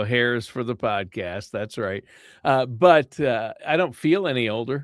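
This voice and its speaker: At a fairly slow pace, a man with a medium pitch talks in a normal speaking voice with ordinary pitch variation. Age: 60s. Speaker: podcast co-host. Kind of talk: casual chat; show introduction.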